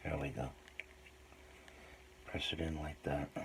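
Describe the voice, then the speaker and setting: A man speaks softly at a fairly slow pace, his voice very deep and low. There is a somewhat breathy quality to it. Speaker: hobby modeler making DIY tutorial videos. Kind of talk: tutorial. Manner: soft-spoken.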